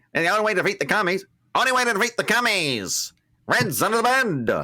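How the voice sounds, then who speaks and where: Putting on a character voice, a man talks very fast in a high, nasal tone with lively intonation. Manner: declaiming.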